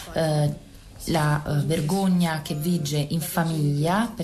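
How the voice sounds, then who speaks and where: Very slow and monotone, a woman speaks with flat intonation at a fairly low pitch. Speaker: interpreter. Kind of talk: interpretation.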